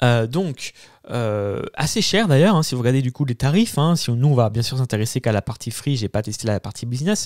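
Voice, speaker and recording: Lively intonation marks a man's medium-pitched voice at a fairly quick pace. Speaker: YouTube tech tutorial creator. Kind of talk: tutorial. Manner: fast; hesitant, many fillers.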